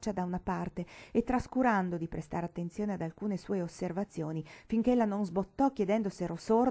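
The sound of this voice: The clip features an unforced reading voice. Its pitch varies in an ordinary way.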